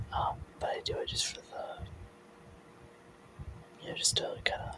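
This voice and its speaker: Whispering at a moderate speed, someone can be heard against noticeable background noise. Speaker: ASMR artist. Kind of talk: ASMR ramble. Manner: soft-spoken.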